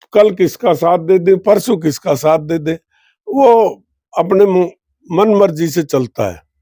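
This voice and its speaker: This man's voice is high in pitch, with ordinary pitch variation. Its tone is dark and mellow. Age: 70s. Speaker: politician, former minister. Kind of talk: interview.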